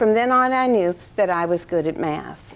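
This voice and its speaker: A woman speaks with a West Coast US accent. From US Pacific Northwest, eastern Washington. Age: 60s. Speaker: retiring math professor. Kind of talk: retirement lecture. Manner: formal.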